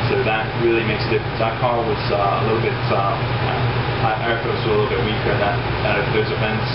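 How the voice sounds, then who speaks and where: Loud background noise fills the recording. A man talks at a fairly quick pace. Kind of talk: interview answer.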